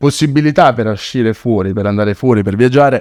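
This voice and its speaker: Lively in intonation and medium in pitch, a man speaks in a dry, close sound with no echo and a very clean recording with a silent background. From southern Italy, Naples. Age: 20s. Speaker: dentist and charity founder. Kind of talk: podcast interview, personal story.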